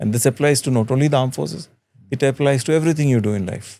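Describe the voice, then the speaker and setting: A man's voice with a dark, mellow tone. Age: 60s. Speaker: retired air force officer. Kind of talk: interview.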